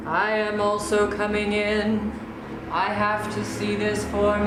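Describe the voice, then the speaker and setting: A put-on character voice at a fairly slow pace, with a clear echo and loud background noise. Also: woman, medium pitch for a woman. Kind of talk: poetic stage verse. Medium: stage play.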